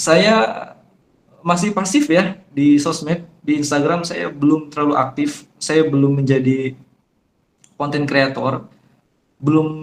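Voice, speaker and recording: At a fairly slow pace full of long, frequent pauses, a man talks in a fairly high pitch with ordinary pitch variation. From Jambi, Sumatra, Indonesia. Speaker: Islamic preacher. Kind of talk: online religious talk. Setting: online forum. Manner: somewhat hard, firm tone.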